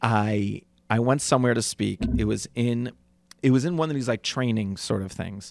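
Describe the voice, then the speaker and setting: The speaker has an unremarkable speaking voice. The pace is moderate and the pitch variation is ordinary. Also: man, medium pitch for a man. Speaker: podcast co-host, addiction counselor. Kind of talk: casual banter.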